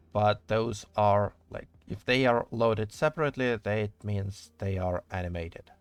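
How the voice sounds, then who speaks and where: With a strong non-native accent, a man speaks at a fairly slow pace with hardly any pauses and ordinary pitch variation, on a very clean recording with a silent background. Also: dry, close sound with no echo. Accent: thick non-native English. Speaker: game modder streamer. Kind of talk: live stream commentary while working. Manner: casual, hesitant with fillers.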